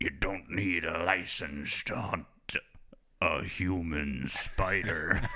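A man puts on a raspy character voice, very deep and low. He speaks very slowly. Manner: deadpan.

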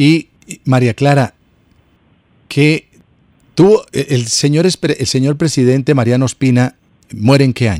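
With a Colombian accent, a man of medium pitch speaks in an animated tone at a fairly slow pace, with ordinary pitch variation, long, frequent pauses and a dry, close sound with no echo. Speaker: radio host. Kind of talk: radio interview. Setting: radio studio.

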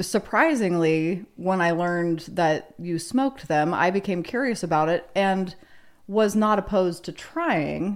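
Speaking with an American accent, a woman with a fairly low pitch moves at a fairly slow pace, her loudness very even and her pitch variation ordinary. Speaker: podcast co-host, former radio newsreader. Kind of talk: casual chat.

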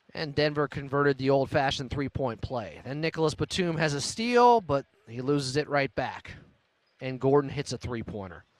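A plain, everyday voice, lively intonation, moderate pace, and a dry, close sound with no echo. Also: man, fairly high pitch for a man. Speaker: post-game radio host. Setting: radio studio broadcast.

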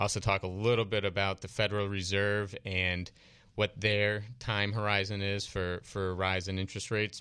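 Monotone and flat in intonation, a man speaks with a bright, sharp tone at a moderate pace. The background is quiet. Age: 30s. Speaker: financial planner and radio co-host. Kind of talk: radio call-in show talk. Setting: radio studio.

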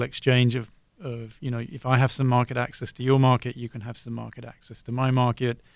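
Here a man speaks with an English accent. He keeps a fairly quick pace. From southern England, Brighton. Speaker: economics professor. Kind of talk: radio panel discussion.

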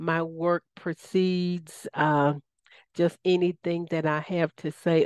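A woman with a Southern US accent speaks at a very slow pace and a fairly low pitch. The sound is dry and close with no echo, over a quiet background. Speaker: radio host. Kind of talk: radio interview, spiritual talk.

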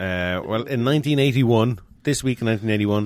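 A man speaks with lively intonation in a very clean recording with a silent background. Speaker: podcast co-host. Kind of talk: casual comedic chat.

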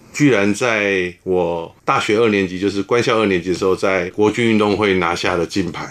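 Over noticeable background noise, a man with a fairly low pitch keeps a moderate pace and fairly even intonation, with hardly any pauses. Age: 50s. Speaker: former naval academy volleyball player. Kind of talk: interview.

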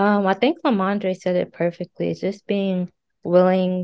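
Speaking at a fairly slow pace, a woman with an American accent keeps a medium pitch. Her intonation is monotone and flat. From US, Kentucky. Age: 20s. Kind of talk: casual interview.

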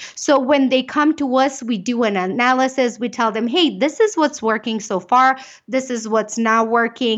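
A woman with a slight Romanian accent sounds animated, her pitch high and her pitch variation ordinary. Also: moderate pace. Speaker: business owner and keynote speaker. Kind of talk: interview.

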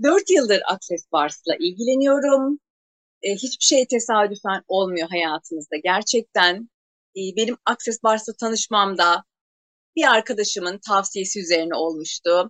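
A woman talks at a fairly slow pace in a medium pitch, with lively intonation and an ordinary speaking voice. The sound is dry and close, with no echo. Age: 40s. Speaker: energy work trainer. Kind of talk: interview.

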